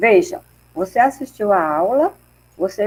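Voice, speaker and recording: A woman's voice at a moderate pace, with very wide swings in pitch. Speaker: research group coordinator / professor. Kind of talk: online mini-course introduction. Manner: soft-spoken.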